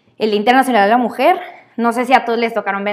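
Fairly high-pitched female speech, its pitch moving in an ordinary way. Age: 20s. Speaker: lawyer and feminist. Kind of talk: casual interview.

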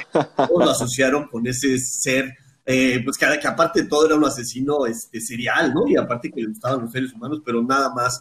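A man's plain, everyday voice, medium-pitched with ordinary pitch variation, at a fairly quick pace. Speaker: shark researcher. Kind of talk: interview.

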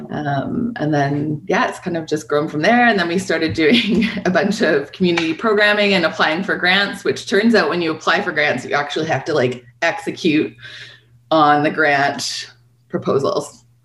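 With a Western Canadian accent, a woman speaks at a fairly low pitch. Her intonation is lively and her pace moderate. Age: middle-aged. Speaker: independent bookstore owner. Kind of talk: casual interview.

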